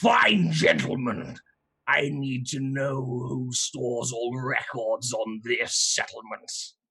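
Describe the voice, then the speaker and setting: A man puts on a raspy character voice with ordinary pitch variation. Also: medium pitch for a man, fairly slow pace. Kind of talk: stilted machine-like formality. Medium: actual play. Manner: pompous, formal.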